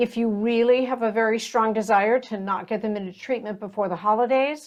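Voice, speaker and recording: At a fairly quick pace, a woman speaks in a fairly high pitch with fairly even intonation and an unremarkable speaking voice. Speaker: podcast host. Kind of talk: podcast intro.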